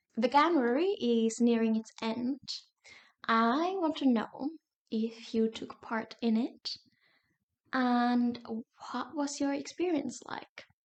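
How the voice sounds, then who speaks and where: A woman with a non-native accent speaks at a high pitch and a very slow pace, with long, frequent pauses. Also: ordinary pitch variation. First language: not English. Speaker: YouTuber. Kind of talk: casual vlog talk.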